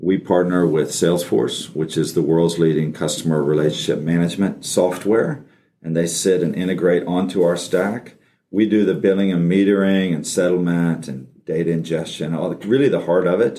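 A man's very deep, low voice in an American accent, dark and mellow in tone, at a moderate pace with ordinary pitch variation. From Texas. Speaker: tech company chief executive. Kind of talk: interview. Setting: studio.

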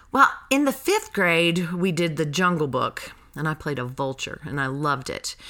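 A woman's fairly low, bright and sharp voice in an American accent, lively intonation at a moderate pace. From North Carolina (Graham). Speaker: actress and theater education director. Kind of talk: casual interview.

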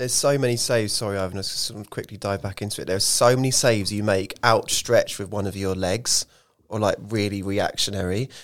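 Talking at a very fast pace, a man with an English accent keeps a fairly low pitch and fairly even intonation. The recording is very clean, with a silent background. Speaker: football club podcast host. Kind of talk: casual chat.

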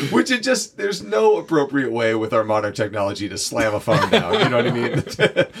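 Over noticeable background noise, the speaker goes at a fairly quick pace with hardly any pauses. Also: man. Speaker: podcast host. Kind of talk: casual conversation.

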